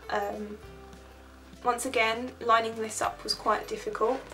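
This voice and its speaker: A woman speaks over noticeable background noise. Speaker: art student. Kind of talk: vlog presentation of own artwork. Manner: stumbling over words.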